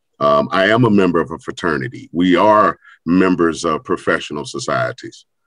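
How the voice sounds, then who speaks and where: A very deep, low male voice with vocal fry, in an American accent. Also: lively intonation, moderate pace. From US Midwest, St. Louis. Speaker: educator and nonprofit leader. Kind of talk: panel discussion.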